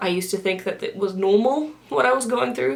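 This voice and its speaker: A woman talks at a fairly quick pace with lively intonation. Noticeable background noise can be heard. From UK. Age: 20s. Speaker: video blogger. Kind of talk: casual monologue.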